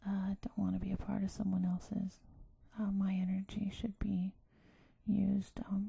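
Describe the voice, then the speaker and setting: The speaker is soft-spoken. The pace is moderate. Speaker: ASMR creator. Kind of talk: ASMR soft-spoken self-help talk.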